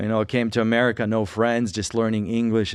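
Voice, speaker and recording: This man talks at a fairly quick pace with a fairly low pitch. The background is quiet. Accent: Russian. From Russia, moved to Colorado at age 9. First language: Russian. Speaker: podcast co-host sharing testimony. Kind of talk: testimony.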